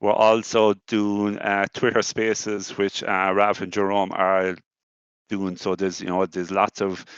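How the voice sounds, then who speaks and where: In a dry, close recording with no echo and a quiet background, a man speaks at a moderate pace in a fairly low, monotone voice with flat intonation. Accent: Irish. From Ireland. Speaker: crypto community co-host. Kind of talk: online community event hosting. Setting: online audio space.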